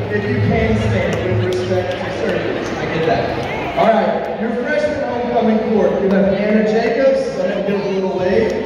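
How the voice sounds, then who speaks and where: The speaker talks at a moderate pace. Crowd noise sits in the background, and there is strong room echo. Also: man. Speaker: school event announcer. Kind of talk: announcement. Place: hall.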